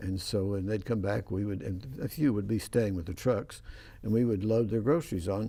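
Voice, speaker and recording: Somewhat breathy, a man's fairly low voice has a dark, mellow tone. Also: ordinary pitch variation, moderate pace. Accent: West Texas. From West Texas. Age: 80s+. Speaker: professor and talk show host. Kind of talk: casual interview chat.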